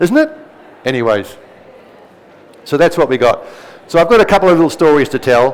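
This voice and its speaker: Noticeable background noise runs through the clip. A man talks with lively intonation. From New Zealand. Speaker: presenter giving a talk. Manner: informal, anecdotal.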